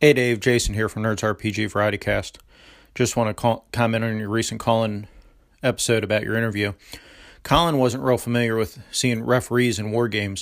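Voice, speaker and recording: In an unremarkable speaking voice, a man of medium pitch talks at a fairly quick pace with fairly even intonation. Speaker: caller, fellow gaming podcaster. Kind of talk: voicemail call-in.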